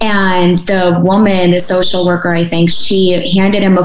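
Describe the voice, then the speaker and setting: A woman with a Midwestern accent talks at a moderate pace in a fairly low pitch. Her intonation is monotone and flat. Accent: American Midwest. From Russia, raised in small-town Michigan. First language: Russian. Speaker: adoptee advocate. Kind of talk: interview. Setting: video call.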